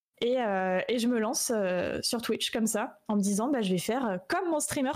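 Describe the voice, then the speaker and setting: A woman talks at a fairly quick pace in a fairly high pitch with ordinary pitch variation, in an unremarkable speaking voice. The recording is very clean, with a silent background. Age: 20s. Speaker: streamer and 3D artist. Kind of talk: casual interview. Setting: live stream.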